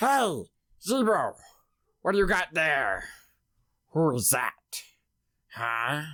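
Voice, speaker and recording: A raspy put-on character voice at a middle pitch, with very wide pitch swings, a very slow pace and long, frequent pauses. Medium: actual play. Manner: casual, offhand.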